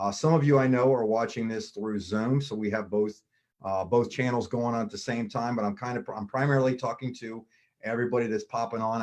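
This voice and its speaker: A man speaks very fast in an American accent. His intonation stays fairly even. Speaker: MLM business presenter. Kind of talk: sales pitch. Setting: live online video stream.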